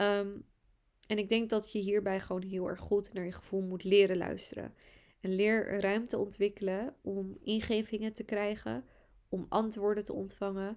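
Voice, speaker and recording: This woman's voice sits at a medium pitch with a monotone, flat intonation. She speaks at a fairly slow pace. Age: 20s. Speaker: podcast host, astrologer and entrepreneur. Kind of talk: solo podcast monologue.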